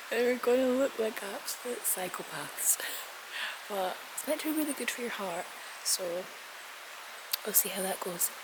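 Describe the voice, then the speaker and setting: Amid noticeable background noise, a quiet woman speaks at a moderate pace with long, frequent pauses. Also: fairly high pitch for a woman, lively intonation. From Scotland. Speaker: lifestyle vlogger. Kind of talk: casual vlog talk to camera. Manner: speaking quietly. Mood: relaxed, chatty. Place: garden. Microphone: phone near.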